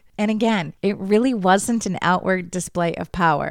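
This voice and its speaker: Her voice is an unremarkable speaking voice, medium in pitch for a woman, with ordinary pitch variation and a moderate pace. The recording is very clean, over a silent background. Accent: American. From United States. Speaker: podcast host. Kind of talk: casual monologue.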